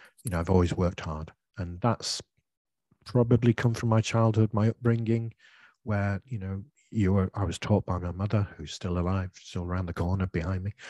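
A man speaks at a fairly low pitch and a moderate pace, with a dark, mellow tone and fairly even intonation. The recording is very clean, with a silent background and a dry, close sound with no echo. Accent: British. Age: 60s. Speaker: English teacher and podcaster. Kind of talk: interview, answering questions.

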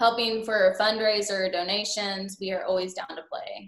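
Fairly slow speech from a woman with an American accent. Her pitch is medium and her intonation fairly even. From Oklahoma. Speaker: country musician. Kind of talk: interview.

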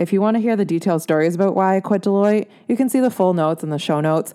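Very fast and at a medium pitch, a woman speaks with a dark, mellow tone and ordinary pitch variation in a very clean recording with a silent background. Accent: Canadian. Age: 20s. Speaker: podcast host. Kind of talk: podcast monologue.

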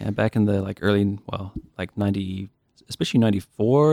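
A man with a New Zealand accent speaks with a dark, mellow tone and a fairly low pitch. The sound is dry and close, with no echo. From New Zealand, Dunedin (South Island). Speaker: game programmer. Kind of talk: casual chat.

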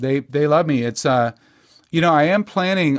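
An unremarkable speaking voice belongs to a man with an American accent, speaking at a fairly high pitch and moderate pace with ordinary pitch variation on a very clean recording with a silent background. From Texas. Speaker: singer-songwriter. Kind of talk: casual chat.

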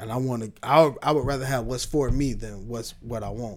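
Speaking very fast, a man keeps a medium pitch and fairly even intonation. Room echo can be heard. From Tampa, Florida. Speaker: comedian. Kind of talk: casual chat.

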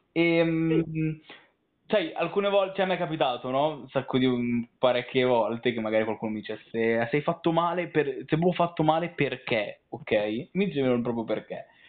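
A man at a moderate pace with lively intonation. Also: fairly high pitch for a man. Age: 20s. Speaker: interviewer, literature and philosophy student. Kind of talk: interview. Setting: recorded call. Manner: halting, many repetitions and fillers.

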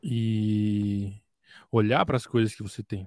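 A man in a very clean recording, silent in the background, with a dry, close sound and no echo. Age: 20s. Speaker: music producer.

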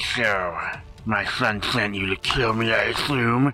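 Faint music sits behind a man doing a raspy put-on character voice at a medium pitch and a fairly slow pace. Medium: actual play. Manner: regal, curt.

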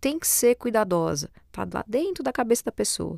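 No echo colors this dry, close sound. The background is silent and the recording very clean. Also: woman. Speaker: voice-over artist and presenter. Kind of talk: podcast monologue. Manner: hesitant, repeats words.

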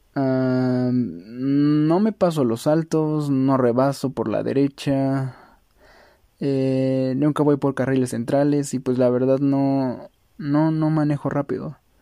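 At a very slow pace, a man with a fairly high pitch speaks with fairly even intonation and very even loudness. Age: 20s. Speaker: cyclist. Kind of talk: testimony.

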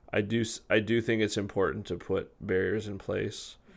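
A man with a Western Canadian accent speaks at a moderate pace. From Canada, Victoria, British Columbia. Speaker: music artist manager. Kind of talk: interview conversation. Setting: studio.

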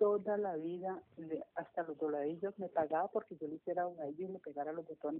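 An ordinary speaking voice, a woman's, comes at a fairly quick pace with fairly low pitch and fairly even intonation. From Colombia, Cali. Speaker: seamstress, member of a sewing circle. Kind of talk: interview. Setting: phone call.

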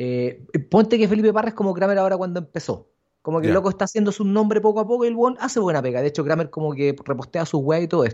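Speech comes at a very fast pace in a Chilean accent. The intonation is lively. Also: man, high pitch for a man. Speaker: podcast co-host. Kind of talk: casual chat. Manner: animated.

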